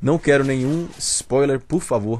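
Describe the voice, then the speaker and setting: The speaker has a Brazilian accent and a fairly slow pace. Pitch variation is ordinary. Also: man. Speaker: gaming channel host. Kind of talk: casual video commentary. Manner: informal, many filler sounds.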